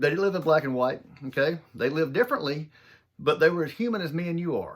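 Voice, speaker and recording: This man has a strong Southern US accent and a fairly high pitch. He talks at a very fast pace in an animated tone. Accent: thick Southern US. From US South, southern Mississippi. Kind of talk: motivational talk. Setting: home office.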